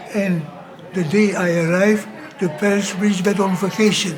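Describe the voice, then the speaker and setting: A man in a Dutch accent at a fairly slow pace, over noticeable background noise. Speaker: missionary priest. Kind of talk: interview storytelling. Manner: halting.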